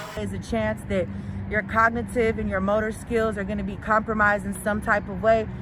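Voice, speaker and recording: A woman speaks in an American accent. The room echo is audible, and background noise is noticeable. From US West Coast, San Francisco Bay Area. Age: 30s. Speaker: daughter of cancer patient. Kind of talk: testimony.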